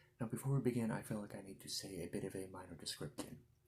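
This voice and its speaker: A soft-spoken man talks in a somewhat breathy, fairly low voice. His pitch varies in an ordinary way. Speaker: ASMR creator. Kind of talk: casual talk to camera.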